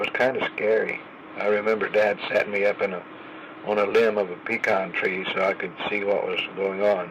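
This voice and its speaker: A man speaks in an Oklahoma accent at a fairly low pitch. Noticeable background noise runs behind him. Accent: Oklahoma Southern US. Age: 80s+. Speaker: grandfather telling life stories. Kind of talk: storytelling memoir. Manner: halting.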